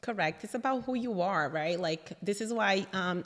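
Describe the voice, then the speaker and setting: At a moderate pace, a woman speaks in a Brazilian accent with ordinary pitch variation. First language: Portuguese. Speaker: interior designer. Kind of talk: casual interview chat.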